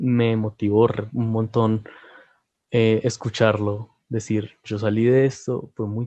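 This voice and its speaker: In a Bogotá accent, a man speaks at medium pitch with a dark, mellow tone and flat, monotone intonation, the sound dry and close with no echo over a quiet background. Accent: Bogotá Colombian Spanish. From Colombia, Bogotá. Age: 20s. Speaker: visual arts student. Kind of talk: interview.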